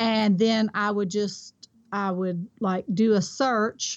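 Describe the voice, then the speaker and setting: With a Kentucky accent, a woman talks at a fairly slow pace in a monotone, flat intonation. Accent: Kentucky Southern US. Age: 50s. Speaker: online reseller. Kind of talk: interview.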